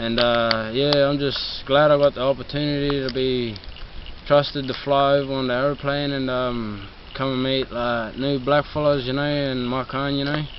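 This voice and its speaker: A man talks at a moderate pace with a medium pitch and monotone, flat intonation. Noticeable background noise can be heard. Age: young. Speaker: youth program participant. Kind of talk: interview. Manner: halting, many fillers.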